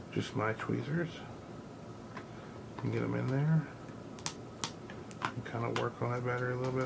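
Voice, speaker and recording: Noticeable background noise runs beneath a man speaking at a fairly quick clip. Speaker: gaming channel host. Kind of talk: repair tutorial talk to camera.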